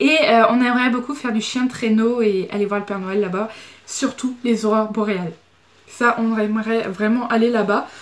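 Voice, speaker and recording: A woman speaks at a moderate pace in a fairly high pitch, with fairly even intonation and noticeable background noise. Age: 20s. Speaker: beauty vlogger. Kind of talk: Q&A vlog. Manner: casual, hesitant.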